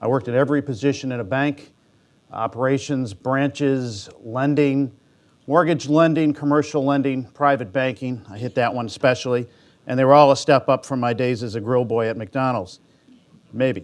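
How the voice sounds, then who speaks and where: In a Midwestern American accent, a man speaks at a medium pitch. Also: ordinary pitch variation. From Michigan. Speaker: bank executive, conference discussant. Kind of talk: conference talk. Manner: fast.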